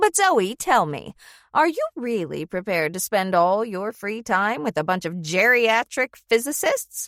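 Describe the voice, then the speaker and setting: A woman's put-on character voice at medium pitch, with very wide pitch swings and a moderate pace, in a very clean recording with a silent background and a dry, close sound with no echo. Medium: read story. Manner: arch, teasing.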